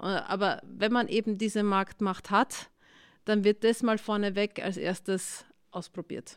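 A woman speaks very slowly at a medium pitch in a flat monotone, recorded very cleanly against a silent background. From Austria, Styria. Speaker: tech CEO and professor. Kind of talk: interview.

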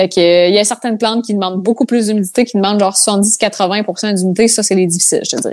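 The speech races along at a very fast pace with hardly any pauses. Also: woman, medium pitch for a woman. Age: 20s. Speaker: content creator. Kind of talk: casual chat.

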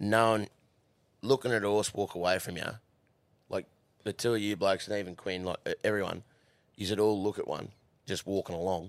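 A man speaks at a fairly quick pace in a fairly low pitch, with long, frequent pauses. The sound is dry and close, with no echo. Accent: Australian. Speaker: horse racing worker. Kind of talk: casual chat. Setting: studio. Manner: animated.

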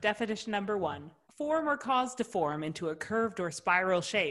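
A woman with an ordinary speaking voice, medium pitch and lively intonation talks at a moderate pace in a Canadian accent. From Ottawa, Canada. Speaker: podcast co-host. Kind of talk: casual chat.

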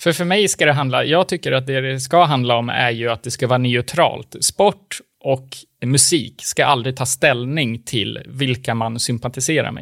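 In a very clean recording with a silent background and a dry, close sound with no echo, a man speaks at a moderate pace at medium pitch with ordinary pitch variation, an ordinary speaking voice. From Sweden. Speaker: podcast co-host. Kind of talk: casual chat.

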